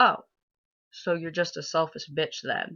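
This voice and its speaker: Against a quiet background, a woman's fairly low voice with a bright, sharp tone moves at a moderate pace. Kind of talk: spoken word poetry performance.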